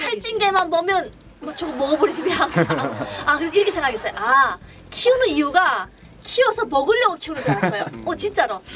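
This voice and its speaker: With a North Korean accent, the speaker moves at a fairly quick pace through very wide pitch swings, over noticeable background noise. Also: woman, high pitch for a woman. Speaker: clinic director. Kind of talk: casual conversation.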